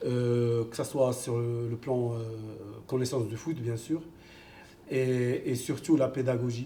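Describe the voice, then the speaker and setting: Very slowly and with fairly even intonation, a man with an Arabic accent speaks at medium pitch amid audible room echo. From Morocco (Kenitra). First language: Arabic (speaking French). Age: 50s. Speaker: football coach. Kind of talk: interview. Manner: hesitant, many fillers.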